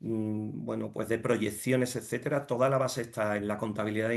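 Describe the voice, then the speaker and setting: A man's fairly low voice keeps fairly even intonation and a moderate pace. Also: quiet background. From Andalusia, Jerez de la Frontera. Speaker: finance director and entrepreneur. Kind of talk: interview. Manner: halting, many fillers and repetitions.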